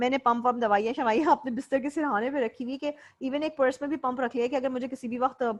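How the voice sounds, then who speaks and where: A very fast delivery with hardly any pauses, fairly even intonation, and a quiet background. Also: woman. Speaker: lecturer. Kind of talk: lecture.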